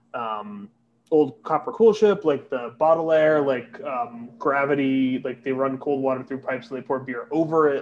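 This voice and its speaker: Here a man talks at a medium pitch. It is a normal speaking voice. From Connecticut. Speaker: beer importer employee. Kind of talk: casual chat. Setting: hotel room.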